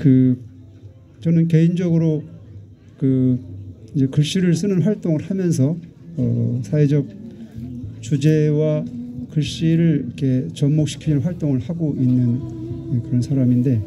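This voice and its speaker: Music plays in the background, and audible room echo fills the space. The speaker talks at a very slow pace with ordinary pitch variation and long, frequent pauses. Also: man, fairly high pitch for a man. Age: 60s. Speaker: calligrapher and activist. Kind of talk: public speech at memorial rally. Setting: outdoor candlelight vigil.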